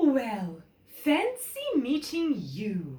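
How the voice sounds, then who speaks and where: Pitched high, the woman's voice is a put-on character act. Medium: read story. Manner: exclamatory, gasping.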